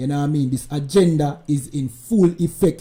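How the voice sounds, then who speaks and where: A man with a Jamaican accent speaks at a moderate pace, his fairly high pitch somewhat breathy with a dark, mellow tone and ordinary pitch variation. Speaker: commentator reacting to video. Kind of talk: live stream commentary.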